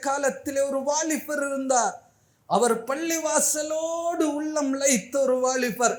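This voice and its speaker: Here a man speaks at an extremely high pitch. His pitch varies in an ordinary way. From Sri Lanka. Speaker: Islamic scholar giving a Friday sermon. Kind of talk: Friday mosque sermon (khutbah).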